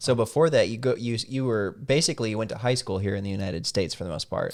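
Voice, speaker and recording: Against a silent background on a very clean recording, a man with a Midwestern American accent speaks very fast at a medium pitch. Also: ordinary pitch variation. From US Midwest (Salem, Missouri). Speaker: podcast host. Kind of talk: casual interview chat. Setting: studio.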